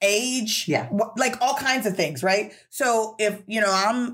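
Her pitch shows ordinary variation. The woman speaks at a moderate pace. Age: 40s. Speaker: podcast co-host. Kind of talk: casual chat. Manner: animated.

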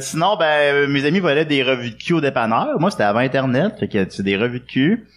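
A plain, everyday voice from a man, fairly high in pitch, with lively intonation, a moderate pace and hardly any pauses. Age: 30s. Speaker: comedian. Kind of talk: casual chat. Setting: stage with audience.

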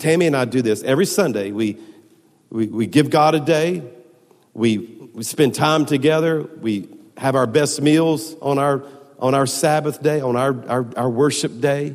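A man talks at a fairly slow pace, his pitch fairly high and ordinary in its variation. Long, frequent pauses break up his speech, and the room echo is audible. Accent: Southern US. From US South, Baton Rouge, Louisiana. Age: 50s. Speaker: pastor. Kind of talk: sermon. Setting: church.

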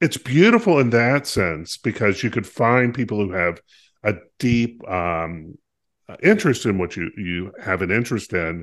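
With an American accent, a man at medium pitch speaks fairly slowly, swinging his pitch very widely and leaving long, frequent pauses against a quiet background. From US South, North Carolina. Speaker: podcast co-host. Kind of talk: casual chat.

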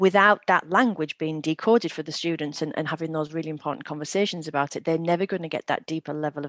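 A woman with a Teesside accent talks at a very fast pace in a very deep, low voice, with a dry, close sound with no echo and a quiet background. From northern England, Middlesbrough. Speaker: former teacher, literacy company executive. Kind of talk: casual interview.

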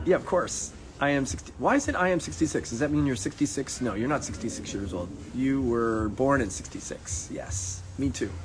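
A man with a medium-pitched voice talks at a fairly slow pace with very wide pitch swings, over noticeable background noise. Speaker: life coach. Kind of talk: casual livestream talk. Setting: Instagram live video.

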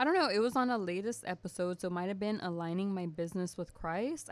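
At a fairly quick pace, a woman uses a plain, everyday voice at a medium pitch with lively intonation. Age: 20s. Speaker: podcast guest. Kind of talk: casual chat.

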